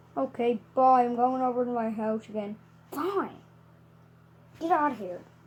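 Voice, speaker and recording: A woman with a high pitch does a cartoonish character voice at a moderate pace, leaving long, frequent pauses. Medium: puppet.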